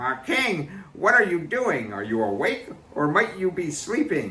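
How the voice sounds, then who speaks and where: Putting on a character voice, a man speaks at a moderate pace in a high register with very wide pitch swings. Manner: storytelling, acted voice.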